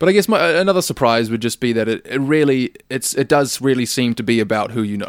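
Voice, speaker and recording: Speaking at a very fast pace with hardly any pauses, a man with a New Zealand accent uses lively intonation at a medium pitch. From New Zealand, Auckland. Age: 20s. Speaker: rock singer. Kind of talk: casual chat.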